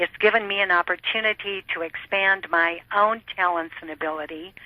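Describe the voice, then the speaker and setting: Noticeable background noise sits under the voice. The delivery has fairly even intonation at a moderate pace. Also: woman, medium pitch for a woman. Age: 60s. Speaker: network marketer. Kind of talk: interview testimony.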